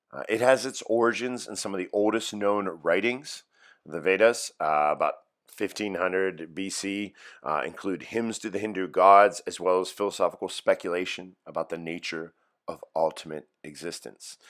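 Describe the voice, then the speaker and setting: Speaking with a slight Pittsburgh accent, a man has a fairly low pitch and ordinary pitch variation at a moderate pace. The recording is very clean, with a silent background. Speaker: high school philosophy teacher. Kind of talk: recorded lecture for students. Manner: casual, with fillers and repetitions.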